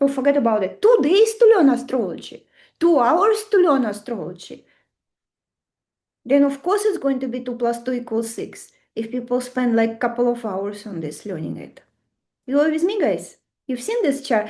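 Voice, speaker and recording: A woman speaks in a Russian accent at a moderate pace. Her high, dark, mellow voice makes very wide pitch swings. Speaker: astrology teacher. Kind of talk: online webinar lecture. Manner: animated.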